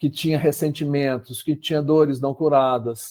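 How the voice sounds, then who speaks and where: At a moderate pace, a man speaks with a dark, mellow tone at medium pitch. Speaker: psychologist and company CEO presenting a case. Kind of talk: webinar presentation. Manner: hesitant fillers.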